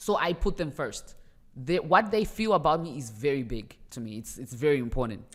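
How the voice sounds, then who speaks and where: A woman speaks fairly quickly with a very deep, low pitch. Her pitch swings very widely and her loudness swings a lot. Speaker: rapper and celebrity. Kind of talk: podcast interview. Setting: studio.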